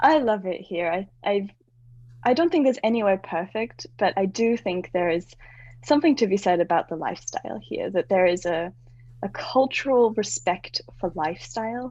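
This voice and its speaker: A woman speaks with an Australian accent. Her intonation is lively. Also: medium pitch for a woman, moderate pace. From Australia, moved around (also US). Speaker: branding and website designer. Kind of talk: podcast interview. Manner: conversational, uses fillers.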